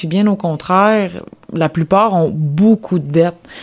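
This woman has an ordinary speaking voice with a fairly low pitch. Her intonation is lively. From Quebec, Lanaudière. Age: 20s. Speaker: agricultural mechanic. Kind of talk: interview.

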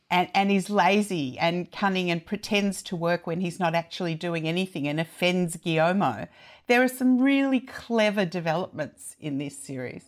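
In an Australian accent, a woman with a fairly low voice talks at a moderate pace with lively intonation and hardly any pauses, on a very clean recording with a silent background. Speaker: TV critic. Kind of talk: casual chat.

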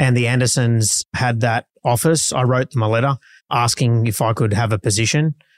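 A man with an Australian accent at a medium pitch, moderate pace, fairly even intonation and very even loudness, on a very clean recording with a silent background and a dry, close sound with no echo. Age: 40s. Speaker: real estate auctioneer. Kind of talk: casual interview.

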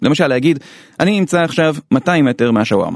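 Very fast speech with lively intonation. The sound is dry and close, with no echo. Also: man. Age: middle-aged. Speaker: podcast host. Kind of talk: scripted narration.

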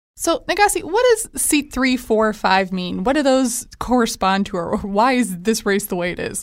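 A woman with a normal speaking voice talks at a moderate pace with hardly any pauses. Her pitch is fairly high and her intonation lively. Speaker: metro reporter. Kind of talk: casual chat, podcast discussion. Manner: playful, flustered.

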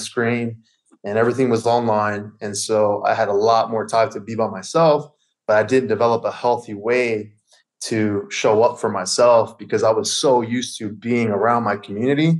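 A man's ordinary speaking voice, medium in pitch, at a moderate pace with fairly even intonation. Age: 30s. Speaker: fitness coach. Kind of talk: casual chat.

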